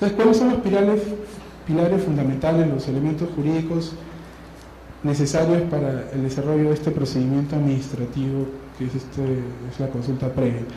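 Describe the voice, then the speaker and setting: Noticeable background noise and audible room echo surround a man speaking at a fairly high pitch with ordinary pitch variation. He talks at a fairly quick pace but with long, frequent pauses. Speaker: lawyer, seminar speaker. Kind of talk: conference talk. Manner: fast.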